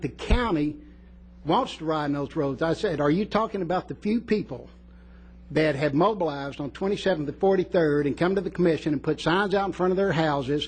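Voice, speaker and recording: Speaking at a fairly quick pace, a man uses a fairly high voice with ordinary pitch variation. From West Texas. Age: 60s. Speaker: resident speaking at public comment. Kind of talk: public comment at county meeting. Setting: county commission meeting room. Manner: emphatic, animated.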